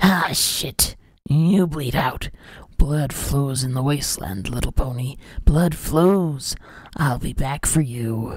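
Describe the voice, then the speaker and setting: In a put-on character voice, the speaker talks at a fairly slow pace and a low-to-middle pitch. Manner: sadistic, gleeful, taunting.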